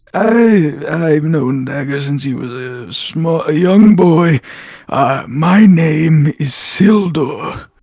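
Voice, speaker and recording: A put-on character voice at a very slow pace. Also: man, fairly high pitch for a man. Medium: actual play. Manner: polite, hesitant.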